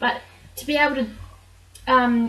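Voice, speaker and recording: A high-pitched woman with a New Zealand accent, in a monotone, flat delivery, against noticeable background noise. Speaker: vlogger. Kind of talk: personal vlog monologue.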